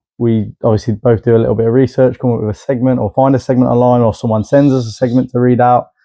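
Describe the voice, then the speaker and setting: In a British accent, a man talks at a very fast pace with hardly any pauses. His medium-pitched voice is monotone and flat. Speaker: podcast co-host. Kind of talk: casual chat.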